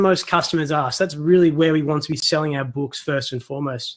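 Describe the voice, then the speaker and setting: A man with an Australian accent, at a fairly quick pace. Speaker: self-publisher and online course creator. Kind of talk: webinar presentation. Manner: casual, conversational.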